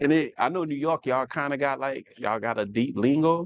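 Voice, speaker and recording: A man with a New Orleans accent, fairly high-pitched, at a moderate pace with ordinary pitch variation, in a dry, close sound with no echo. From New Orleans, US South. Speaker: podcast co-host, fashion stylist. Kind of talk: casual chat.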